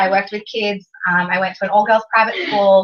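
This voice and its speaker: Delivered at a very fast pace, the voice has an Australian accent and an animated tone. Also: woman. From Australia (Canberra). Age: 20s. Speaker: business presenter. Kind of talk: motivational talk to an audience.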